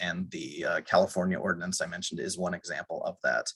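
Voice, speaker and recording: A man at a fairly quick pace, dry and close with no echo. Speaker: lawyer, policy presenter. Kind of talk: webinar presentation. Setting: online webinar. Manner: fast.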